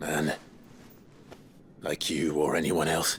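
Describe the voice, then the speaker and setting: Against clear background noise, a man uses a put-on character voice that is raspy, very deep and low, and calm in tone. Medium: video game. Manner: calm, grave.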